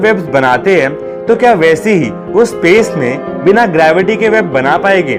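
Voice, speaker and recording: High male voice with lively intonation, music in the background. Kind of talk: fact countdown narration. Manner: energetic.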